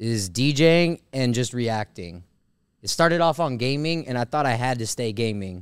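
A man with an ordinary speaking voice and medium pitch talks at a moderate pace with lively intonation on a very clean recording with a silent background. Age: 30s. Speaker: DJ and podcast co-host. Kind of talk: casual chat.

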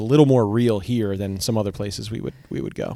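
The man talks at a very fast pace in a dark, mellow tone. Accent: American. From Connecticut. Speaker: ska band singer. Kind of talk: casual interview. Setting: in a car.

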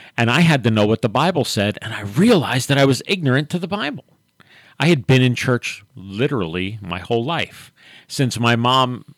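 On a very clean recording with a silent background, a man with an unremarkable speaking voice talks at a moderate pace with a medium pitch and lively intonation. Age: 60s. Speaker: pastor and radio host. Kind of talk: radio talk show discussion with prayer. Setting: radio studio, live broadcast.

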